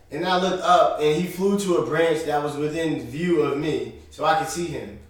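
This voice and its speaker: Over noticeable background noise and audible room echo, someone with an American accent talks at a moderate pace with fairly even intonation. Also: man. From Northern New Jersey, near Manhattan. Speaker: IT security worker, friend of host. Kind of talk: casual chat, storytelling.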